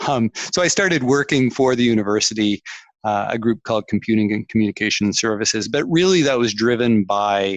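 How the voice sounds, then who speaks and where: An ordinary speaking voice: a man with a Canadian accent, fairly low pitch and moderate pace, dry and close with no echo, against a quiet background. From Canada. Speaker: tech executive. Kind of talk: interview.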